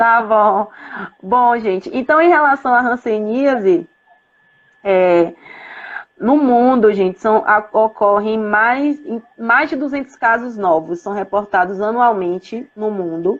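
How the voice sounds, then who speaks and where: Speaking at a very slow pace, a woman with a fairly high pitch uses lively intonation. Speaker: professor and public health researcher. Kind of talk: live-stream lecture. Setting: Instagram live video. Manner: hesitant, many fillers.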